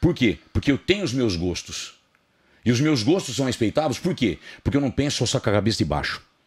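Pitch swings very widely around a man's medium range. He speaks at a moderate pace against a quiet background. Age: 50s. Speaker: fitness personality; podcast guest. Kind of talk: podcast interview, casual chat. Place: studio. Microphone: studio mic.

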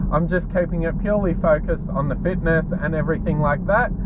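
A male speaker talks at a fairly quick pace, the sound dry with no echo despite loud background noise. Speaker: fitness vlogger. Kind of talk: casual vlog chat. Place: car. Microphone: phone near.

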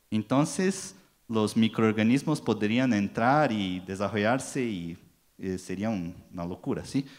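A man with a Brazilian accent speaks at a fairly slow pace in a fairly low pitch with lively intonation against a quiet background. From Brazil, São Paulo. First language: Portuguese (speaking Spanish). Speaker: packaging industry marketing manager; conference speaker. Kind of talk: conference talk. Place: hall. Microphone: handheld.

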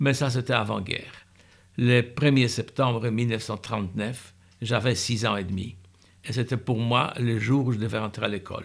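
With vocal fry, a man talks at a fairly slow pace using fairly even intonation. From Poland, Warsaw. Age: 80s+. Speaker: Holocaust survivor. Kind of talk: testimony. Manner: halting. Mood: calm, earnest recollection. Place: home room.

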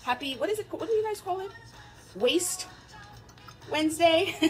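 Faint background music accompanies a woman's speech. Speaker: fitness vlogger. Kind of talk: casual vlog chat. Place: home room. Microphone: phone near.

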